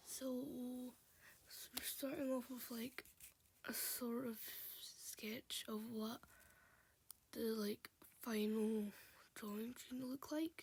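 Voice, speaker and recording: The speaker is soft-spoken. The pace is very slow, with long, frequent pauses. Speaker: hobby digital artist. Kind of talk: casual drawing voiceover. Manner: quiet, soft.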